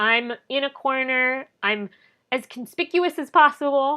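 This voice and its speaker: The background stays quiet while a woman talks in a bright, sharp tone. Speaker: wedding photographer. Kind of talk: promotional talk to camera.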